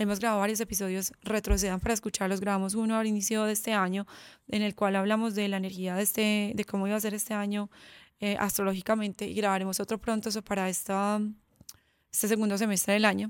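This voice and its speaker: Over a silent background in a very clean recording, a woman talks very fast at a medium pitch. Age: 30s. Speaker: podcast host and entrepreneur. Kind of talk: solo monologue podcast. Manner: animated.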